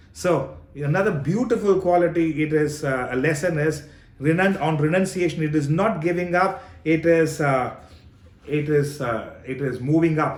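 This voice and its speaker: Audible room echo surrounds a man with a fairly high pitch. His pitch varies in an ordinary way. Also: moderate pace. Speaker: spiritual teacher. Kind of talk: Q&A session on scripture.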